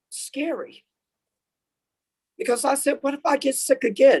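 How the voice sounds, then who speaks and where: A woman's high-pitched voice at a fairly slow pace. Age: 60s. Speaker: essential health care worker testifying. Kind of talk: public hearing testimony.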